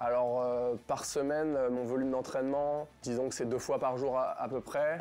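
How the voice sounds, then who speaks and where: Monotone and flat in intonation, this dark, mellow voice moves at a moderate pace. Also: man. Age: 20s. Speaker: athlete and engineering student. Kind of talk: interview. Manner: hesitant with frequent fillers.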